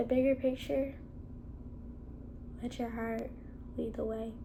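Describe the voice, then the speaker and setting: Soft-spoken delivery in a dark, mellow tone, at a very slow pace with fairly even intonation and audible room echo. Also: woman. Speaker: solo vlogger. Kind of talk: casual monologue. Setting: at home, in a room with a cat.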